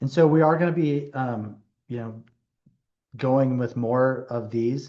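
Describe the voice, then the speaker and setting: Speaking at a fairly slow pace, a man has a medium pitch and a dark, mellow tone. His intonation stays fairly even. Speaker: physician. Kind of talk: webinar presentation. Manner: slower-paced.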